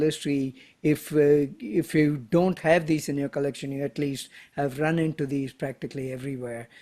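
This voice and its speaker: A man with a Tamil accent speaks at a fairly high pitch and a moderate pace, his tone dark and mellow. His intonation stays fairly even on a very clean recording with a silent background. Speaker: stamp collector, postal historian. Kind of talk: presentation to a club. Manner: halting, many fillers.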